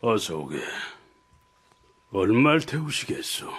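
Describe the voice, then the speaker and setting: Using a put-on character voice, a man speaks in a raspy, medium pitch at a fairly slow pace. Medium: audio drama. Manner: smiling, affable.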